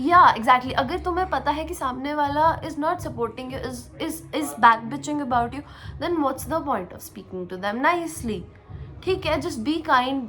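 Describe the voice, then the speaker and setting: Raising and projecting her high-pitched voice, a woman speaks with lively intonation at a moderate pace. Music is heard in the background. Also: big swings in loudness. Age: 20s. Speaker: tech podcast co-host. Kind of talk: casual podcast conversation.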